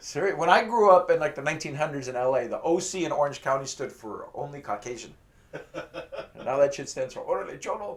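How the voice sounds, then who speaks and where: Over noticeable background noise, a man with a fairly high pitch talks at a fairly quick pace, his intonation lively and his loudness swinging widely. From Los Angeles (Pacoima), raised in Mexican family. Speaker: comedian. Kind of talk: stand-up. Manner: animated.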